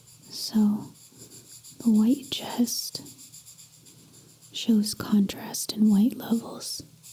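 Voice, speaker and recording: Against noticeable background noise, a soft-spoken woman talks at a very slow pace with a fairly high pitch, fairly even intonation and long, frequent pauses. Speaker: artist. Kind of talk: soft-spoken ASMR drawing tutorial.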